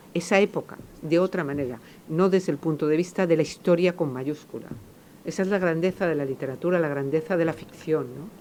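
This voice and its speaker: The voice has a dark, mellow tone. It moves at a fairly quick pace with ordinary pitch variation. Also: woman, fairly low pitch for a woman. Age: 50s. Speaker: novelist. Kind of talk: public talk Q&A. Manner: halting, many repetitions and fillers.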